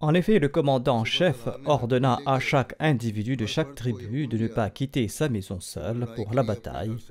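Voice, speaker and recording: A man with a plain, everyday voice speaks fairly slowly with hardly any pauses. His pitch is medium, with ordinary variation. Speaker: religious leader giving a sermon. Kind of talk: religious sermon delivered as historical narration.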